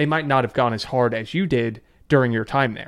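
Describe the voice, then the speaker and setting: A normal speaking voice from a man at medium pitch, with ordinary pitch variation and a moderate pace, in a very clean recording with a silent background. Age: 20s. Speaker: online writing teacher, former finance worker. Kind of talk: debate.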